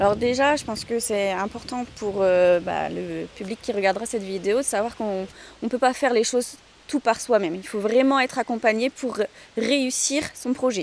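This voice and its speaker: Here a woman talks at a moderate pace. Her pitch rises and falls in an ordinary way. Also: fairly high pitch for a woman. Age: 30s. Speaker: snail farmer. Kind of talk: interview testimony. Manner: hesitant, many filler sounds.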